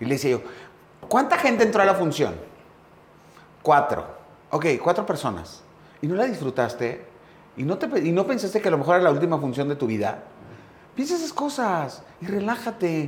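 Fairly brisk male speech amid noticeable background noise. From northern Mexico, Chihuahua. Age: 50s. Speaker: theatre producer and TV host. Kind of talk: casual interview chat.

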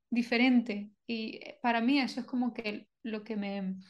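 The speaker is a woman with a high pitch. She keeps her intonation fairly even. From Venezuela and Colombia. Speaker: Chinese medicine practitioner. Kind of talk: interview conversation. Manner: hesitant, many fillers and repetitions.

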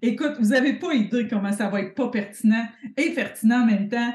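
Lively intonation at a moderate pace, in a Quebec accent. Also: woman. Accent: Québécois French. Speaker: podcast host, business coach. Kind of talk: casual chat.

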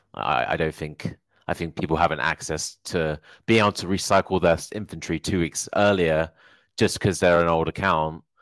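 A man's very deep, low voice at a moderate pace, dry and close with no echo, on a very clean recording with a silent background. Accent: southern English. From Hertfordshire, England. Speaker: Amazon seller, entrepreneur. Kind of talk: casual chat.

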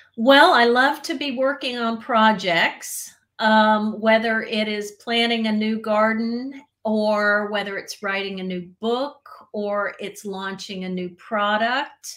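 This woman talks very slowly with hardly any pauses, her fairly high pitch showing ordinary variation. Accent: slight Southern American. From US South, central Florida. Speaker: etiquette expert. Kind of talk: interview.

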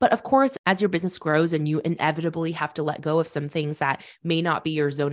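The woman's voice is very deep and low, with ordinary pitch variation. She talks at a fairly quick pace. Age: 20s. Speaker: entrepreneur and podcast host. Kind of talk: casual chat. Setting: studio, in person.

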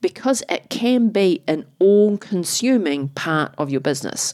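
In a New Zealand accent, the speaker talks at a fairly slow pace with lively intonation, on a very clean recording with a silent background. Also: woman. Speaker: podcast host and business strategist. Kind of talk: podcast intro and interview.

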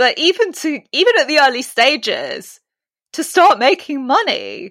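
Very wide pitch swings mark a bright, sharp voice at a fairly slow pace, on a very clean recording with a silent background. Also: woman. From Britain. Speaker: leadership coach. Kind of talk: interview. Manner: articulate.

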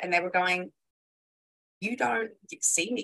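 A woman talks in a normal speaking voice, keeping a moderate pace and ordinary pitch variation. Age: 20s. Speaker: copywriter and marketing expert. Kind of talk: casual interview chat.

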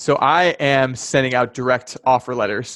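A man with an American accent speaks at a medium pitch in a monotone, flat delivery. The background is quiet. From US Midwest, Chicago area. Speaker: land investor. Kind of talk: interview. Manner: halting, many fillers.

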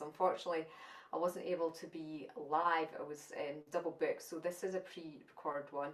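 A speaker with a Scottish accent talks at a fairly quick pace, with ordinary pitch variation. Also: woman. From Scotland. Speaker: spiritual channeler and teacher. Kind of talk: channelled spiritual talk at an online summit. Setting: online summit presentation.

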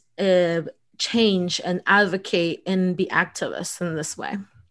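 With a Spanish accent and monotone, flat intonation, a woman speaks at a medium pitch against a quiet background. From El Salvador, raised in US Midwest. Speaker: lawyer and entrepreneur. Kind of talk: interview conversation.

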